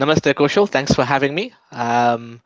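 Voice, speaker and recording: This man speaks with a British accent at a fairly high pitch, his pitch varying in an ordinary way. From England. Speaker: think-tank coordinator and author. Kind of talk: casual interview. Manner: halting with frequent fillers.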